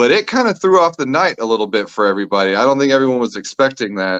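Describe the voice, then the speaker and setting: With an American accent, a man speaks in very wide pitch swings, the sound dry and close with no echo. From Texas. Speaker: comedian. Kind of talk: storytelling interview answer.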